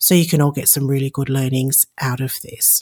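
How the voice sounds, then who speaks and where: A woman speaks with an Australian accent. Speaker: podcast host and aviation consultant. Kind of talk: solo podcast introduction.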